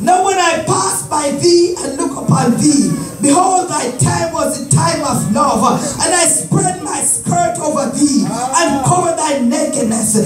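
Clear music plays behind a man who speaks at a fairly slow pace. The room echo is audible. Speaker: evangelist preacher. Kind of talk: sermon scripture reading. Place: church. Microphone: phone near.

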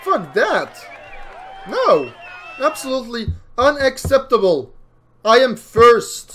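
Music plays in the background as a man talks at a very slow pace. He leaves long, frequent pauses. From Belgium. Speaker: gaming YouTuber playing a racing game. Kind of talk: casual gameplay commentary. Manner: excitable, reacts loudly to the race.

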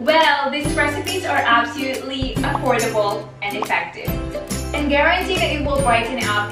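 A woman speaks at a fairly slow pace, with audible room echo and clear music in the background. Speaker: beauty vlogger. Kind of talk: casual vlog intro. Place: home room.

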